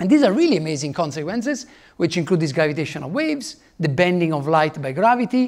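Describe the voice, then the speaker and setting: A man's high-pitched voice with an Italian accent, fairly quick and lively in intonation, on a very clean recording with a silent background. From Italy. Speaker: physicist. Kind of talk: lecture. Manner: halting.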